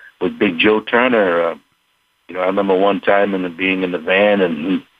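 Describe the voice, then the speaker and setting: At a moderate pace, a man with an American accent speaks at a fairly low pitch. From New England, Rhode Island/Connecticut. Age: 60s. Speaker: blues singer and harmonica player. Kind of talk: radio interview.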